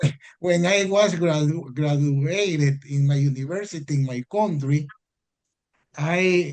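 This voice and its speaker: Speaking very slowly with a Spanish accent, this man has a fairly high pitch and ordinary pitch variation. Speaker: foreign law graduate. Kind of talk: audience Q&A in webinar. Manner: halting.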